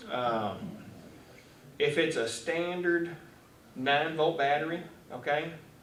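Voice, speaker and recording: A man speaks with a Texan accent. Audible room echo surrounds his voice. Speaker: fire marshal. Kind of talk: talk to a club audience. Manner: loud.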